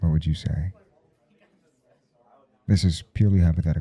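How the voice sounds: At a moderate pace, a man uses a put-on character voice that is extremely low, dark and mellow in tone with a slightly husky edge and fairly even intonation.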